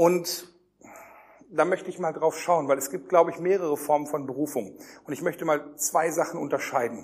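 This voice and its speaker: Pausing long and often, a man speaks in an animated tone at a fairly high pitch and a moderate pace. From Germany. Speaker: youth pastor / preacher. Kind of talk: sermon. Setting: youth camp with live audience.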